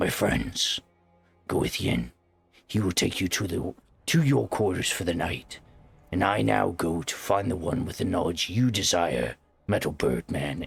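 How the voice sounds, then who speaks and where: A man's raspy, very deep, low put-on character voice with long, frequent pauses. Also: moderate pace. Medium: actual play. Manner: commanding.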